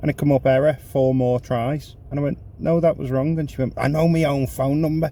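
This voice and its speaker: A man speaks at a fairly quick pace. His tone is dark and mellow, and somewhat breathy. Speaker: rideshare driver vlogger. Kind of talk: casual vlog chat. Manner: animated storytelling.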